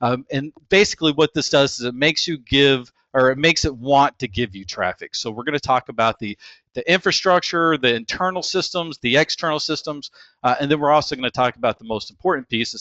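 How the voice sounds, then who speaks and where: With a slight Texas accent, a man talks in a fairly high pitch and lively intonation. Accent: slight Texas drawl. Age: 40s. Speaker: internet marketer. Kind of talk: webinar presentation. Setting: webinar. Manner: casual, many filler words.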